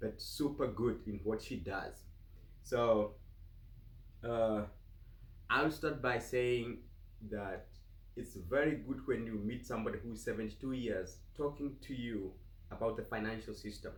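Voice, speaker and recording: Speaking with a Kenyan accent at a fairly slow pace, the voice is somewhat breathy with ordinary pitch variation. Long, frequent pauses stand out amid audible room echo. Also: man, medium pitch for a man. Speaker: vlogger. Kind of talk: casual interview. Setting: home office.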